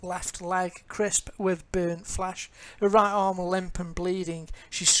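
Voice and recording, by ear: Reading aloud, the speaker uses a natural voice.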